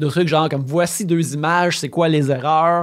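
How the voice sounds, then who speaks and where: Recorded very cleanly against a silent background, a man speaks with a fairly high pitch in a Quebec accent. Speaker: video game writer. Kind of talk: casual chat. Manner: halting.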